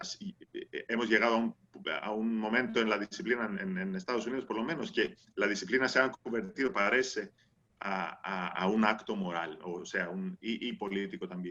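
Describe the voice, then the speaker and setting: The voice has a bright, sharp tone and lively intonation, with a non-native accent. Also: man, medium pitch for a man, moderate pace. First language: not Spanish (speaking Spanish). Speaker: anthropologist. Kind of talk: panel discussion. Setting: video call. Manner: halting, many fillers and repetitions.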